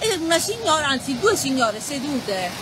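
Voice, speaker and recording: A woman at a fairly quick pace with very wide pitch swings, dry with no echo, over noticeable background noise. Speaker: writer. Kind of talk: storytelling reading with casual asides. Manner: chatty, humorous. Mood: cheerful, joking. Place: beach. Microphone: phone near.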